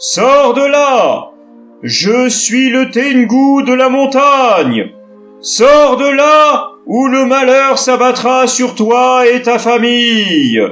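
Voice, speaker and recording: Over faint music in the background, a man in a put-on character voice speaks very slowly at an extremely high pitch, his voice raised and projected. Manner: menacing, shouting.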